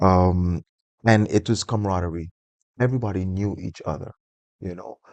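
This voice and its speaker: A man with a St Martin accent speaks at a very deep, low pitch and a moderate pace with ordinary pitch variation. The sound is dry and close with no echo, against a quiet background. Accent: St. Martin Caribbean English. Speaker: interview guest. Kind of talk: interview conversation.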